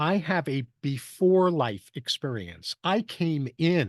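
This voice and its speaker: A man with an American accent and a fairly high pitch is recorded close and dry, with no echo and a quiet background. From New York. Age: 70s. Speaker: human potential strategist. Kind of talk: presentation talk. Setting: video call.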